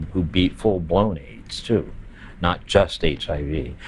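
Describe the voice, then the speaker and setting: This man has an American accent and a very deep, low pitch. His pitch varies in an ordinary way. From US, Baltimore. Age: 70s. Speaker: drag performer and long-term HIV survivor. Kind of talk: documentary interview, personal testimony. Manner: halting, many fillers and repetitions.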